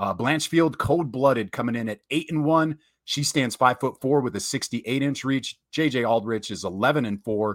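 A man speaks at a moderate pace and medium pitch in an animated tone, with hardly any pauses and ordinary pitch variation. The sound is dry and close, with no echo. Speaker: MMA podcast host and fight commentator. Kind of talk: casual chat.

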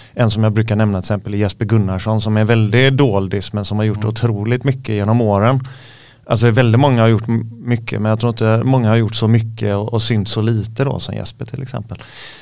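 The man's voice is medium in pitch with a monotone, flat intonation. He talks at a very fast pace. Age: 50s. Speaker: MMA coach and former fighter. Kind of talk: casual interview chat. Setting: studio.

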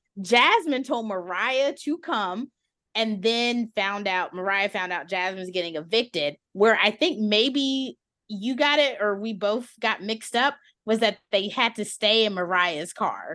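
A woman speaks fairly slowly in a fairly high, bright and sharp voice against a quiet background. Her tone is animated and her intonation lively. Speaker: podcast host. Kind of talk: casual chat. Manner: animated, laughs often.

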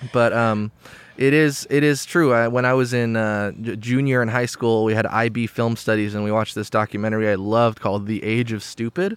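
His is an unremarkable speaking voice, medium in pitch. The man talks fairly quickly with fairly even intonation. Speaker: podcast host. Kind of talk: casual interview chat.

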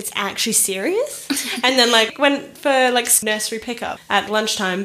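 Against noticeable background noise, a woman with an Australian accent speaks with ordinary pitch variation. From Australia (Perth). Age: 20s. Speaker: traveller back from Europe. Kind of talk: casual chat. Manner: fast.

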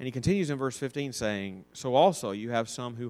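This man has an Alabama accent and a medium pitch, with ordinary pitch variation. He keeps a moderate pace on a very clean recording with a silent background. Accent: Southern US (Alabama). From US South, North Alabama. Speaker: Sunday school teacher. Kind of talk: Bible lesson. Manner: halting.

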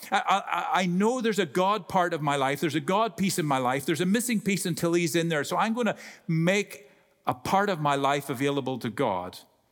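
Lively intonation carries this fairly quick speech, its loudness very even. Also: man, high pitch for a man. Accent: Irish. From Ireland. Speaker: guest preacher. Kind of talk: sermon. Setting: church. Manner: humorous, talkative.

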